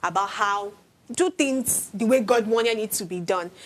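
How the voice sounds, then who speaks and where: A woman talks at a moderate pace in a plain, everyday voice, fairly high, with ordinary pitch variation. The recording is very clean, with a silent background. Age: young. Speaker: talk show panelist. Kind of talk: panel discussion.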